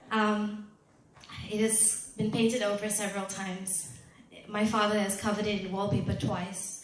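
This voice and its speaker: A woman at medium pitch and moderate pace, monotone and flat in intonation, over noticeable background noise. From Malaysia. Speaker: spoken word poet. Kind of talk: live presentation talk. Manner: casual, chatty.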